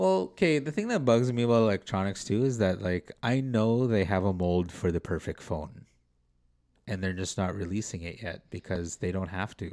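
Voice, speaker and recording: A man with a Canadian accent, a plain, everyday voice, fairly low pitch and ordinary pitch variation, at a moderate pace in a very clean recording with a silent background. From North Vancouver, Canada. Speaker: podcast host. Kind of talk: casual chat.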